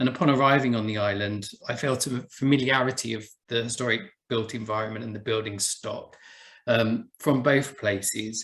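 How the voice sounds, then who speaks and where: A man with a medium pitch talks at a moderate pace with fairly even intonation. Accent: Essex. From Essex, England. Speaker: buildings conservation officer. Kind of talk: presentation talk.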